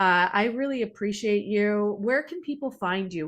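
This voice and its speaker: Against a quiet background, a woman with a Canadian accent speaks in an unremarkable speaking voice at a medium pitch, a moderate pace and ordinary pitch variation. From Canada. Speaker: podcast host. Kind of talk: interview conversation.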